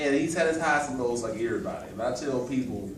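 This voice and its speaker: Amid noticeable background noise and audible room echo, a man with an American accent speaks at a fairly quick pace and medium pitch, with ordinary pitch variation. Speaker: motivational speaker. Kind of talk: motivational speech. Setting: farewell party, audience, no microphone. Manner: loud.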